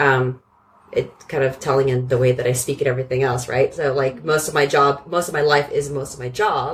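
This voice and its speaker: A woman's very deep, low voice with a Californian accent, fairly even intonation and a fairly quick pace. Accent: General American (Californian). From US West Coast, San Francisco Bay Area. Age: 30s. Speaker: operations director. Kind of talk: casual chat.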